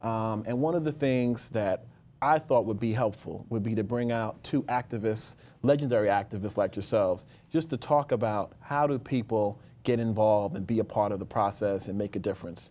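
The voice has a dark, mellow tone and an American accent. It moves at a moderate pace with ordinary pitch variation. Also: man. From New York. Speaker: community board chair and TV host. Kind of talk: interview. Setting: studio. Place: studio. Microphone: lapel.

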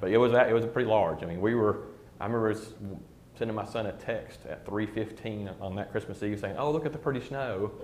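A man with a slightly mellow tone and fairly low pitch speaks at a fairly quick pace, his pitch varying in an ordinary way.

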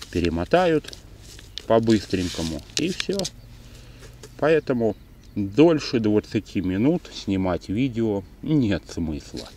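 A man speaks very slowly in a fairly low voice, with very wide pitch swings and long, frequent pauses. The sound is dry with no echo, and there is light background noise. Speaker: angler vlogger. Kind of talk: casual vlog chat. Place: waterside. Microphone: phone near.

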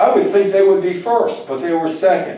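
Audible room echo surrounds a man speaking at a high pitch with very wide pitch swings. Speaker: lecturer. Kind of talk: lecture. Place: hall. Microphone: pa.

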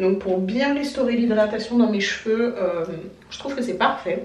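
With strong room echo, the voice has a slightly mellow tone, a moderate pace and ordinary pitch variation. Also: woman, medium pitch for a woman.

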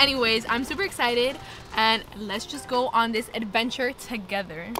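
With clear music in the background, a woman speaks in a dry sound with no echo. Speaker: vlogger. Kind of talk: casual vlog chat. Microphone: phone near.

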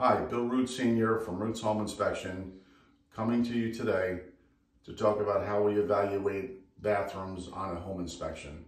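The speaker talks at a moderate pace with fairly even intonation, and audible room echo surrounds the voice. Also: man, fairly low pitch for a man. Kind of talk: tutorial. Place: bathroom. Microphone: phone near.

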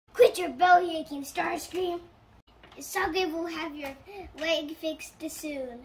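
It's a cartoonish character voice with an extremely high pitch. The pace is fairly slow.

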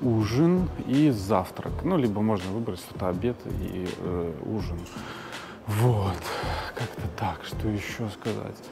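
Over loud music in the background, a man talks at a very slow pace with long, frequent pauses. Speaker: travel vlogger. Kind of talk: casual vlog chat. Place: station. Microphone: phone near.

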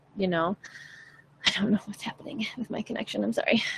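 Light background noise sits behind a woman speaking with ordinary pitch variation. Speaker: vocal coach. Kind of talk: tutorial. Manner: bright and forward; animated. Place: home room. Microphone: studio mic.

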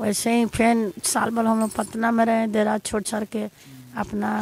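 A woman speaks at a fairly slow pace with a fairly high pitch, ordinary pitch variation and hardly any pauses. The sound is dry with no echo, with light background noise. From Bihar. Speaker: wife of interviewee; interviewee. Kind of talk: testimony. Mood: earnest, pleading. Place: street. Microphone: handheld.

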